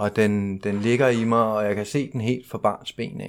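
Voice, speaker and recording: A man's voice sits at a fairly low pitch, his intonation fairly even. The recording is very clean and the background silent. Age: 40s. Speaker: recovering alcoholic speaker at a 12-step convention. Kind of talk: personal testimony talk. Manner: halting, with many fillers.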